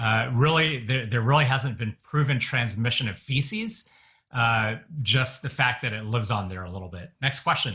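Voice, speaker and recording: Loud and bright with a sharp tone, a man talks at a medium pitch and a moderate pace, his pitch varying by an ordinary amount. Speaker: physician advising churches. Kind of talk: webinar Q&A. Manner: loud and boisterous; many fillers, hesitant restarts.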